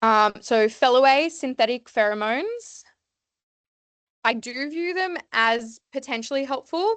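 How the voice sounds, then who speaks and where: A woman speaks loudly with lively intonation. The sound is dry and close with no echo, and the background is quiet. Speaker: veterinary nurse. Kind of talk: seminar lecture. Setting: evening seminar with audience. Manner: loud, lots to say.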